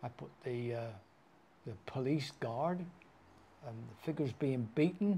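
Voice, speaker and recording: This man speaks at a fairly slow pace, with medium pitch and lively intonation, in a dark, mellow, somewhat breathy tone. His loudness swings widely, and he takes long, frequent pauses. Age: 80s+. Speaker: potter. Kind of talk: interview answer. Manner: full of fun.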